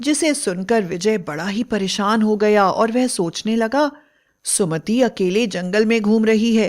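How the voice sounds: Against a quiet background, the speaker uses a natural reading voice.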